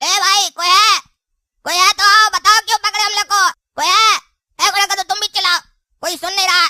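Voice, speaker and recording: An extremely high, put-on character voice races along at a very fast pace. Long, frequent pauses break it up. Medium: comedy sketch. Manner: panicky.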